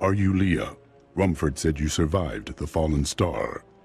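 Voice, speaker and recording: Faint music plays in the background as a man uses a put-on character voice. It is very deep and low, at a moderate pace. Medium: video game. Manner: calm, resolute.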